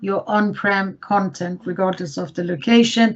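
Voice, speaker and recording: At a moderate pace, a woman talks in a medium pitch with ordinary pitch variation and a somewhat breathy quality. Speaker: IT services consultant. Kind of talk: webinar presentation.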